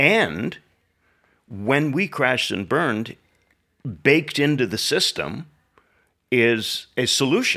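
A man speaks at a very slow pace with long, frequent pauses, very wide pitch swings, vocal fry and a bright, sharp tone. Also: medium pitch for a man. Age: 70s. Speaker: pastor. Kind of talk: casual conversation. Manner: dry, laconic.

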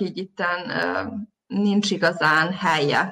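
Bright and sharp in tone, a woman speaks with fairly even intonation. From Vojvodina, Serbia (Zrenjanin). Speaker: visual artist. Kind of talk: interview. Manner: hesitant, many fillers.

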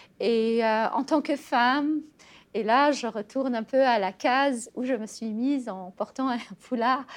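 A woman's high voice at a fairly slow pace, with fairly even intonation, on a very clean recording with a silent background. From Tunisia. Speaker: writer. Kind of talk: interview. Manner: hesitant, many fillers.

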